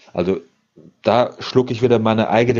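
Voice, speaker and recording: A man speaks at a moderate pace. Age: 30s. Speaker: business coach. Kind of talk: casual chat.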